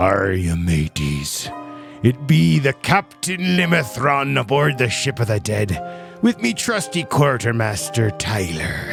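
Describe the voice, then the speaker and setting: Over clear background music, a man puts on a character voice with very wide pitch swings at a fairly slow pace. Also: medium pitch for a man. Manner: theatrical, playful.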